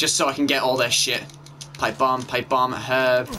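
A man with an English accent talks at a fairly slow pace and medium pitch. Noticeable background noise runs underneath. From England. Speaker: gaming YouTuber. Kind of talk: let's play commentary. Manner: animated.

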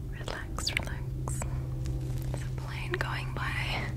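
A soft-spoken woman's whispering at a very slow pace, against loud background noise. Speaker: video creator. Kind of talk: casual soft-spoken ASMR-style chat. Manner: soft calming whisper. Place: home room. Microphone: studio mic.

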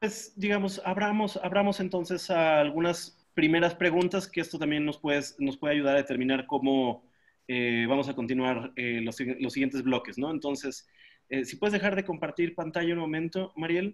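Over a quiet background, a man talks at a moderate pace with a fairly high pitch and ordinary pitch variation. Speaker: workshop moderator. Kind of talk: casual moderation. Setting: video call. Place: home room. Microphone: webcam.

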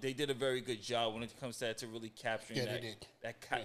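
A man's bright, sharp tone. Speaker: podcast co-host. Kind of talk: casual review commentary. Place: studio. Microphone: studio mic.

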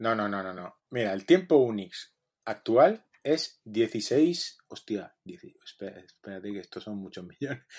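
With an ordinary speaking voice, a man talks at a fairly slow pace with hardly any pauses, using a fairly low pitch, lively intonation and big swings in loudness. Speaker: podcast co-host, software developer. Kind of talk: casual chat.

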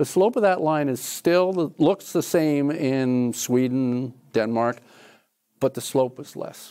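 A man's dark, mellow voice with an American accent at a very slow pace, with ordinary pitch variation against a quiet background. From New Jersey. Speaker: professor. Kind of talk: lecture; audience Q&A. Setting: lecture hall with audience. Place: classroom. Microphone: lapel.

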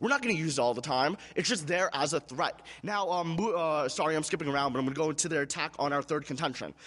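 A man is speaking over a quiet background. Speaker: debate competitor. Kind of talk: debate rebuttal speech. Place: stage. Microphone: podium.

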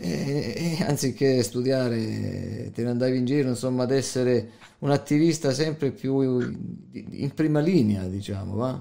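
At a fairly slow pace, a man speaks in an unremarkable speaking voice with a medium pitch and ordinary pitch variation. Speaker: podcast interviewer. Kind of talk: interview.

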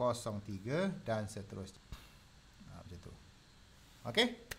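A man's voice with vocal fry swings very widely in pitch. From Malaysia. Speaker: design tutor. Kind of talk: live tutorial. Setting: live stream. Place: home room.

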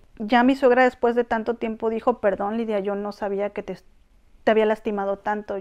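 Over a quiet background, a woman talks fairly quickly with a fairly high pitch. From Mexico, Tampico; Mexico. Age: 40s. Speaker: Mexican immigrant wife in Korea; interviewee. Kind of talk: interview, personal story. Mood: reflective, earnest. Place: home room. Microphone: lapel.

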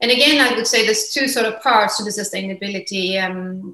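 With audible room echo, a woman speaks in a Swedish accent with ordinary pitch variation. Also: quiet background. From Sweden. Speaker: fashion entrepreneur. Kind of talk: interview. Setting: remote call. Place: home room.

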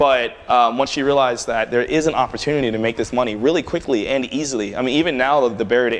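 A man talks at a very fast pace in an American accent. His intonation stays fairly even. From Prince George's County, Maryland; Maryland. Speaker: tech entrepreneur and speaker; speaker. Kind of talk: conference talk with Q&A. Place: hall.

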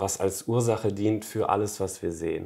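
Against a quiet background, a man speaks at a fairly low pitch. His tone is dark and mellow, with fairly even intonation. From western Germany, Emmerich on the Rhine (Lower Rhine); western Germany. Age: 20s. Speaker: spiritual author; interview guest. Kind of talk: interview conversation. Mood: calm, reflective. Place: home room. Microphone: lapel.

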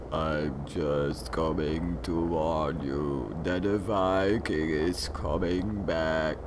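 A man speaks very slowly at a very deep, low pitch. Loud background noise runs beneath him. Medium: read story. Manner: ominous, repetitive.

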